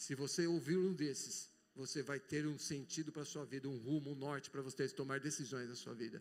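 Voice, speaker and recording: His voice is fairly high for a man. He talks at a moderate pace. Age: 60s. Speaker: pastor. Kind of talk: sermon. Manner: animated.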